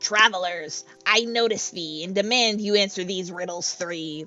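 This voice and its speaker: A female-sounding put-on character voice at medium pitch and a moderate pace. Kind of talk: archaic, formal. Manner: officious, gruff.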